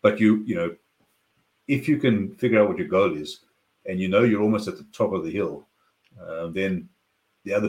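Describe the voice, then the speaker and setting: A man speaks at a moderate pace with a fairly low pitch. His voice moves in very wide pitch swings. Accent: South African. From South Africa, Cape Town. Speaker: business consultant. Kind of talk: interview conversation.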